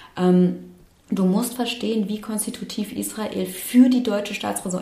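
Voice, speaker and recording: A woman's medium-pitched voice, fairly even in intonation and moderate in pace, over noticeable background noise. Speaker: activist and lawyer. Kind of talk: casual interview conversation. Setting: studio.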